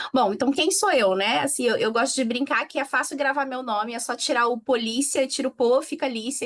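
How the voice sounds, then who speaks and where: A woman in a Rio de Janeiro accent talks at a fairly quick pace with ordinary pitch variation. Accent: Rio de Janeiro (carioca). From Rio de Janeiro, Brazil. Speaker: innovation manager, panel speaker. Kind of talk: conference panel talk.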